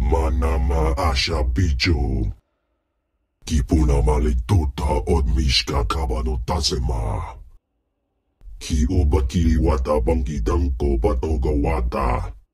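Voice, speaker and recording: A man uses a growling put-on character voice. His pitch is very deep and low. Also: fairly slow pace. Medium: video game. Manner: imperious, speaking in an alien tongue.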